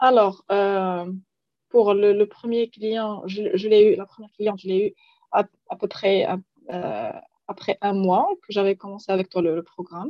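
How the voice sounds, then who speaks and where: A woman of medium pitch speaks at a fairly slow pace, with big swings in loudness. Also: ordinary pitch variation. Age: 30s. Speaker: life coach. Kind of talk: interview testimony. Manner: halting.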